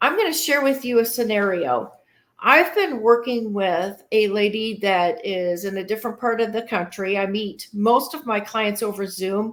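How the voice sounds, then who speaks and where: A woman with a Midwestern accent speaks with a fairly high pitch and ordinary pitch variation. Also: moderate pace. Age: 50s. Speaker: podcast host, retirement strategist. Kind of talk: solo podcast talk.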